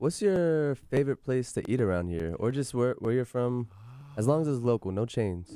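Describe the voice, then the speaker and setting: Speaking in an American accent, a man uses a medium pitch and a dark, mellow tone with lively intonation. He keeps a moderate pace on a very clean recording with a silent background. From Virginia Beach, US. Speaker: college radio host. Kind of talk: casual interview chat. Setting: radio studio.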